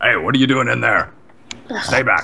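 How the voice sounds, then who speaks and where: A raspy, put-on character voice from a man at a medium pitch and moderate pace, over clear background noise. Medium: actual play. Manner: gruff, casual.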